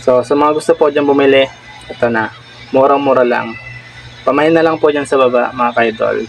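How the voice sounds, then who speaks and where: Over music in the background, a man talks in a fairly high pitch, his loudness very even and his intonation fairly even. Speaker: prank vlogger. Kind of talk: prank vlog with mock online selling.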